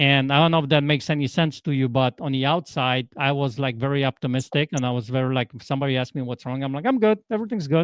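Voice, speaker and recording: A man with a Polish accent talks at a very fast pace with hardly any pauses. His pitch is fairly high, with ordinary variation. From Poland. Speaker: transformational coach. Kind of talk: podcast interview. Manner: animated.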